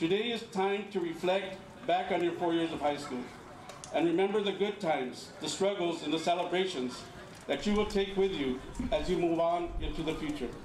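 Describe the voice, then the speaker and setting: Noticeable background noise runs beneath the voice, along with audible room echo. Delivery is at a moderate pace, and the pitch varies in an ordinary way. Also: man, high pitch for a man. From California, migrant farmworker family of Mexican parents. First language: Spanish. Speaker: school administrator. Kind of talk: commencement speech. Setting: outdoor graduation ceremony with audience. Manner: formal.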